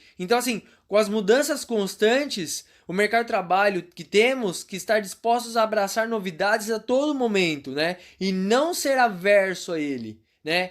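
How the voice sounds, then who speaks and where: Moving at a moderate pace, a man with a high pitch speaks in an animated tone with lively intonation. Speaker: career consultant teaching online class. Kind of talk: online lecture.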